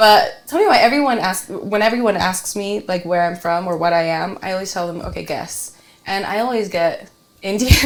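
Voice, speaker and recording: In a Utah accent, a woman speaks at a moderate pace in a medium pitch with ordinary pitch variation, and audible room echo surrounds her voice. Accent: American, Utah. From Salt Lake City, Utah (early childhood in Tonga). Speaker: realtor. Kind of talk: casual chat.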